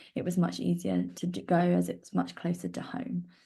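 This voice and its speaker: Here a woman talks with a southern English accent. Her pace is moderate. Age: 20s. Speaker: volunteer sharing lived experience of cleft. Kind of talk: personal testimony. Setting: online live stream. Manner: hesitant with frequent fillers.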